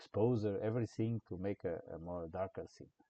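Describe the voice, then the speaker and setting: A man speaks at a moderate pace with a non-native accent, his fairly low pitch carrying a dark, mellow tone and lively intonation in a dry, close sound with no echo. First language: not English. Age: old. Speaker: game development tutorial creator. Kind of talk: tutorial. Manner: halting.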